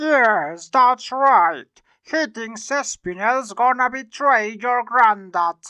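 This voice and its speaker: A woman uses a put-on character voice pitched high. She delivers it at a very slow pace. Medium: fan dub.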